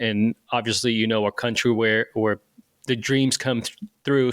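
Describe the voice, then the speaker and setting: In a Portuguese accent, a man talks at a fairly quick pace with fairly even intonation. The sound is dry and close, with no echo. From Brazil, Rio de Janeiro. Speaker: firefighter. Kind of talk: interview. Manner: halting, many repetitions and fillers.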